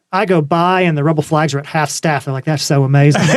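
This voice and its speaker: Here is a man with an American accent. His pitch is fairly high and his intonation fairly even. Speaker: car builder and Instagram personality. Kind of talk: casual chat. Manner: fast.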